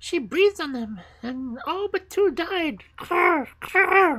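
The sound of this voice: Using a put-on character voice, a woman speaks with extremely high pitch and lively intonation. Her tone is fairly bright, and her pace is slow.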